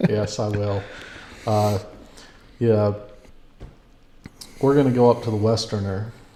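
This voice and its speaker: In a slight Texas accent, the speaker goes at a fairly slow pace with monotone, flat intonation and long, frequent pauses. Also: man, fairly low pitch for a man. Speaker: podcast host. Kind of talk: podcast interview.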